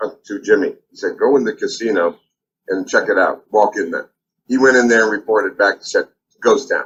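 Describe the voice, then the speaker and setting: A man talks with long, frequent pauses, keeping a moderate pace. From Las Vegas, US West. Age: 60s. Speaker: singer-songwriter. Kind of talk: interview storytelling. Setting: video call. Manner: halting, many fillers.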